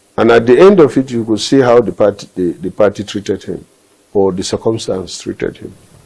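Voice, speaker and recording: Delivered at a fairly quick pace in a northern Nigerian accent, the dark, mellow voice shows big swings in loudness and ordinary pitch variation. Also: man, medium pitch for a man. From Nigeria, northeast. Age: 60s. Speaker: politician. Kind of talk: interview. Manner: halting.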